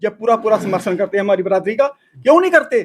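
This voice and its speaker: A man's animated tone at a moderate pace. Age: 60s. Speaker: temple community member. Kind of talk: interview.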